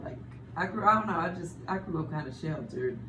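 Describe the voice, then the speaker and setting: Amid noticeable background noise and audible room echo, a woman with an American accent speaks in a very deep, low pitch with very wide pitch swings. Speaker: radio host. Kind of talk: casual interview.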